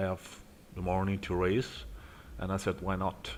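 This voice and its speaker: This man has a very deep, low pitch. He keeps a moderate pace with ordinary pitch variation. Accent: Italian. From Italy. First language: Italian. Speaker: sim racing streamer. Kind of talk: live gameplay commentary. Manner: halting, many fillers.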